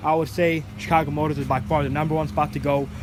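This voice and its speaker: Here a man talks at a very fast pace and a fairly high pitch. Noticeable background noise runs underneath. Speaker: car vlogger. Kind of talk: casual vlog monologue. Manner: casual, repetitive filler phrases.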